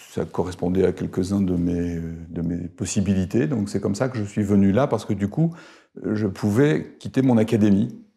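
A man speaks at a moderate pace with a fairly low pitch, a dark, mellow tone and ordinary pitch variation against a quiet background. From northern France, Arras; France. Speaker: professor emeritus; professor emeritus, interviewee. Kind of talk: interview. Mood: calm, reflective. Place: home room. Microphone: lapel.

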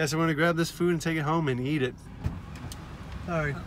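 A man's fairly even delivery, dry with no echo, over light background noise. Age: young. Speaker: fitness vlogger. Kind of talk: casual vlog. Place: car. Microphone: phone near.

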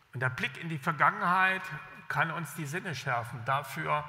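With a bright, sharp tone and some vocal fry, a man speaks at a moderate pace with ordinary pitch variation. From East Germany, Jena; East Germany. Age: 60s. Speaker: government official, former journalist; former journalist. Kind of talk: keynote speech. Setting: stage with audience. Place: stage. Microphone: podium.

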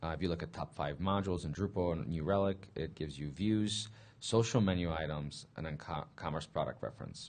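A man's very deep, low voice at a fairly quick pace, with ordinary pitch variation and hardly any pauses. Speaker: conference speaker. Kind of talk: conference talk. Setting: conference room with audience. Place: hall.

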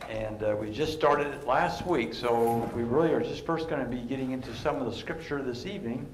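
A man talks at a fairly quick pace amid audible room echo and light background noise. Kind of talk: sermon-style teaching talk. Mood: warm, relaxed. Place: church. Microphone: headset.

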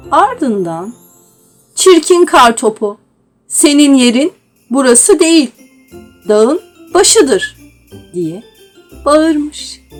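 A woman's high voice with very wide pitch swings, a very slow pace and long, frequent pauses, over music in the background. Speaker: voice narrator. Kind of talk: children's story reading.

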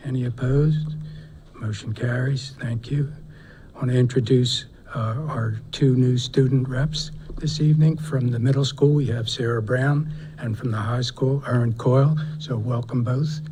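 This man's medium-pitched voice is somewhat breathy, with a dark, mellow tone. His intonation stays fairly even. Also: moderate pace. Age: 60s. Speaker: school board member chairing meeting. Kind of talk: formal meeting chairing. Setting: school board meeting.

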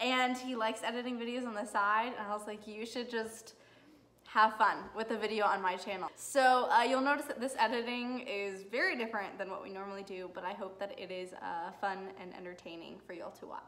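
A woman talks at a fairly quick pace, with ordinary pitch variation. Her loudness swings widely. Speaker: law student vlogger. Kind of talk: casual vlog chat. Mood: cheerful, a bit giggly. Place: home room. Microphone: phone near.

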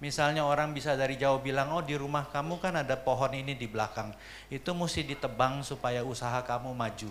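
At a moderate pace, a man talks in a fairly high pitch with light background noise. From Jakarta, Indonesia. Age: 60s. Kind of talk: seminar lecture. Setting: seminar room with audience. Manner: animated. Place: hall. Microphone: handheld.

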